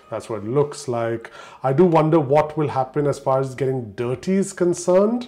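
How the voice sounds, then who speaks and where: With a dark, mellow tone and lively intonation, a man speaks at a moderate pace in a fairly high pitch. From Indian raised in Dubai. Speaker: tech reviewer. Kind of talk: unboxing video. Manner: casual, chatty. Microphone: poor audio from mic issue.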